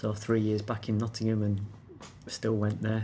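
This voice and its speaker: A man with a Lincolnshire accent speaks in a fairly low pitch. His voice is somewhat breathy. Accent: Lincolnshire northern English. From Scunthorpe, northern England. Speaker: beer taster. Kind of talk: casual chat.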